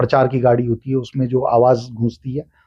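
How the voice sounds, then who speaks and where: A somewhat breathy man's voice at medium pitch. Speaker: voice-over artist and stage anchor. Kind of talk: podcast interview answer.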